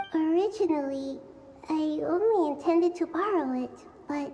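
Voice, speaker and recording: In a put-on character voice pitched extremely high, a woman delivers her lines at a moderate pace. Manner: nervous, guilty.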